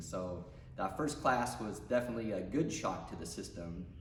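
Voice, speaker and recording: This man has a fairly low pitch and keeps a moderate pace. Audible room echo surrounds his voice. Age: 40s. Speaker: gym member. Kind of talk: testimony.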